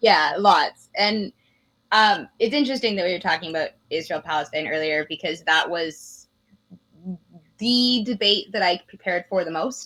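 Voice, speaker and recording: With a Canadian accent, a woman talks at a moderate pace in a medium pitch, her tone bright and sharp and her intonation lively. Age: young. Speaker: former political candidate. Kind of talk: interview.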